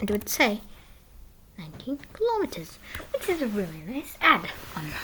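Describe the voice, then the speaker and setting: A quiet woman talks at a moderate pace with very wide pitch swings over noticeable background noise. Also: fairly high pitch for a woman. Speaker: coding tutorial youtuber. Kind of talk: tutorial. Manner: halting.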